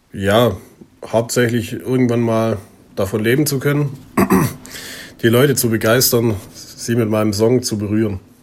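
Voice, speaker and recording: Over noticeable background noise, a man keeps a fairly even intonation and takes long, frequent pauses. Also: medium pitch for a man, moderate pace. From southern Germany, near Stuttgart. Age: 20s. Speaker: singer-songwriter. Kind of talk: self-interview. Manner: casual.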